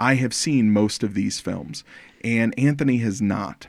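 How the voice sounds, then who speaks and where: In a very clean recording with a silent background, a man with an unremarkable speaking voice talks at a fairly slow pace, using medium pitch and ordinary pitch variation. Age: 40s. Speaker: podcast host. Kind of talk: casual chat.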